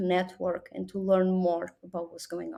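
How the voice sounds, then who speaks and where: Over a silent background in a very clean recording, a woman with a Portuguese accent speaks at a fairly slow pace, her tone dark and mellow and her pitch medium. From Portugal. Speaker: business development executive. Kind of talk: interview.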